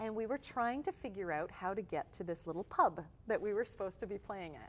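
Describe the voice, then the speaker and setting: A woman with a slight Canadian accent talks at a very fast pace, using medium pitch and ordinary pitch variation. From Canada, Toronto. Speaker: touring musician. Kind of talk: interview.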